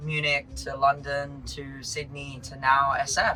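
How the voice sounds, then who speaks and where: With an Australian accent, a man speaks in a monotone, flat way at a fairly high pitch over noticeable background noise. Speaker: startup founder. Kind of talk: podcast interview.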